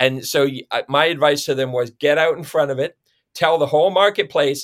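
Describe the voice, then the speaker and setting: With a Canadian accent and an unremarkable speaking voice, a man talks at a fairly quick pace with ordinary pitch variation. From Ontario, Canada. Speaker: city planner. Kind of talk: interview.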